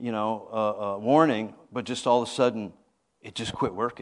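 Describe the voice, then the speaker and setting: This man has an ordinary speaking voice at medium pitch. He talks at a moderate pace against a quiet background. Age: 50s. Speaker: apostle, guest preacher. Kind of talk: sermon. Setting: church.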